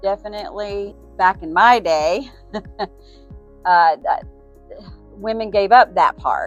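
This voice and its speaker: Over background music, a woman at medium pitch speaks at a very slow pace, leaving long, frequent pauses, her loudness swinging widely. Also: ordinary pitch variation. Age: 60s. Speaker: small business owner. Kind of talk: street interview answer.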